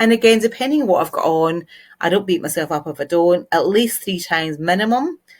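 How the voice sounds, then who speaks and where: The speaker has a Glaswegian accent and a fairly quick pace. The recording is very clean, with a silent background. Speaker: LinkedIn marketing trainer. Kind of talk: tutorial. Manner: casual, conversational.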